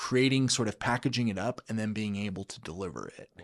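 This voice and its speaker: A man with a plain, everyday voice speaks at a fairly quick pace and medium pitch with ordinary pitch variation, in a very clean recording with a silent background. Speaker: state education chief of staff. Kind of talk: podcast interview answer.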